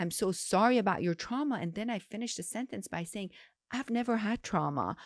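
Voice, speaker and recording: At a moderate pace, a woman with an Iranian accent speaks on a very clean recording with a silent background and a dry, close sound with no echo. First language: Farsi. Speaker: gynecologist. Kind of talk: interview.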